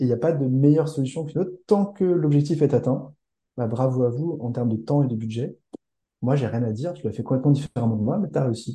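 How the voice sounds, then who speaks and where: A somewhat breathy man with a dark, mellow tone talks at a fairly quick pace, with a medium pitch and ordinary pitch variation. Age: 40s. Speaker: school founder and entrepreneur. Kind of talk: casual interview.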